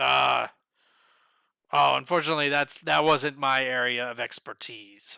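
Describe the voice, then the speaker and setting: A man's raspy, put-on character voice, with long, frequent pauses. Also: medium pitch for a man, moderate pace. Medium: actual play. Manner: measured, courteous.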